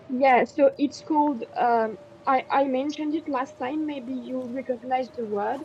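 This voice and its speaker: A high-pitched woman at a fairly slow pace, with fairly even intonation over noticeable background noise. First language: French. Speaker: French tutor. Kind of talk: language lesson.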